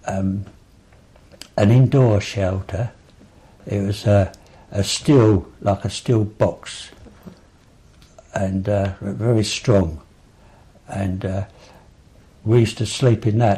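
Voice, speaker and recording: A man with an Essex accent speaks at a very slow pace, his fairly low voice dark, mellow and somewhat breathy, with fairly even intonation and long, frequent pauses. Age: 80s+. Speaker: local elder recalling memories. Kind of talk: oral history interview. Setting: at home. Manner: halting, many fillers.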